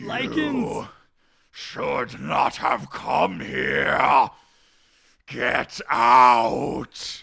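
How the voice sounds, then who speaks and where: Using a raspy, put-on character voice, a man speaks at a very slow pace with long, frequent pauses. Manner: menacing, snarling, shouting.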